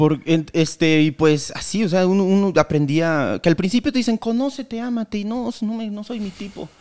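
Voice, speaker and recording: Over a quiet background, a man with a high pitch speaks at a moderate pace with lively intonation and hardly any pauses. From Mexico, Querétaro; Mexico. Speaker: comedian. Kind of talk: casual chat. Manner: halting. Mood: joking, animated storytelling. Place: studio. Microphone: studio mic.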